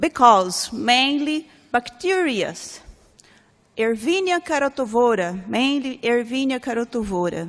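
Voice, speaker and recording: Speaking in a Portuguese accent, a woman uses a high pitch with very wide pitch swings. Her pace is fairly slow. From Brazil. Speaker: researcher and professor. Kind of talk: conference talk. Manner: halting.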